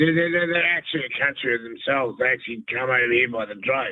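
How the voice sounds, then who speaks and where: Here is a man with a New Zealand accent. He talks at a fairly quick pace in a fairly high pitch. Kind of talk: casual chat. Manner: halting, stammering.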